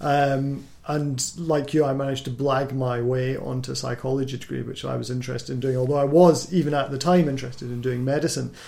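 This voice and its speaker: With a Scottish accent, a man talks at a fairly quick pace with hardly any pauses, using a medium pitch, flat monotone intonation and a dark, mellow tone amid audible room echo. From Scotland. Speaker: doctor and podcast host. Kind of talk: casual chat.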